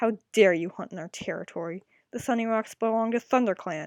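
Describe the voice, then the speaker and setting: A woman uses a put-on, growling character voice at a fairly high pitch and a fairly quick pace. The recording is very clean with a silent background. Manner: growling, menacing.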